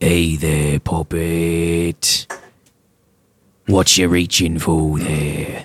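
A man uses a put-on character voice with a very deep, low pitch and a flat monotone. He speaks very slowly with long, frequent pauses, and the sound is dry and close with no echo. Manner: beckoning, teasing.

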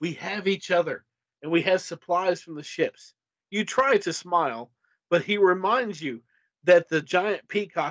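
A natural reading voice sounds out with a quiet background behind it.

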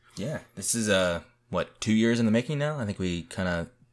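Fairly low in pitch and fairly quick in pace, a man's unremarkable speaking voice. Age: 20s. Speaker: podcast co-host. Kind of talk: casual chat.

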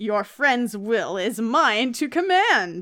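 The speaker uses a put-on character voice and moves at a very slow pace. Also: female-sounding voice. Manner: commanding, villainous.

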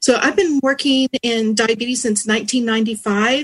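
A woman talks in a somewhat breathy voice. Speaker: diabetes educator copresenter. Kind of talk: webinar presentation.

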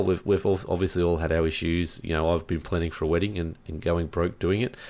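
Rattling along at a very fast pace, a man with an Australian accent uses a very deep, low pitch and fairly even intonation on a very clean recording with a silent background. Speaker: gaming podcast co-host. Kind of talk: casual chat.

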